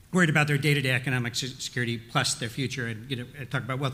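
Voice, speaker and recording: A man's fairly high-pitched voice, bright and sharp in tone, at a very fast pace. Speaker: retired school principal, panelist. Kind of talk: panel discussion. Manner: halting.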